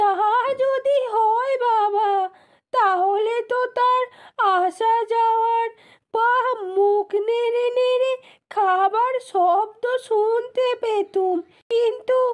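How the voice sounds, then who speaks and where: Using a cartoonish character voice, a woman speaks at an extremely high pitch and a very slow pace, with fairly even intonation and very even loudness. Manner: plaintive, rustic.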